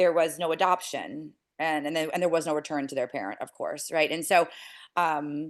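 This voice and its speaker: Her pitch is very deep and low for a woman. Her intonation stays fairly even. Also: quiet background. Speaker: nonprofit founder. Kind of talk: interview. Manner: fast.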